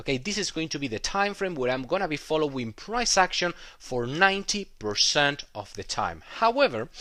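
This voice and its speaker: In a very clean recording with a silent background, a man with a non-native accent talks at a moderate pace, his fairly high voice bright and sharp in tone and swinging very widely in pitch. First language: not English. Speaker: trading educator. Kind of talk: tutorial. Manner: halting, many fillers.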